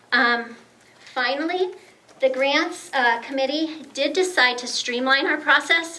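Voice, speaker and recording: High, bright, sharp-toned voice of a woman, raised and projected at a very slow pace with ordinary pitch variation and audible room echo. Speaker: grant committee volunteer at a members' meeting. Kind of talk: speech to an audience. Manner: hesitant, many fillers.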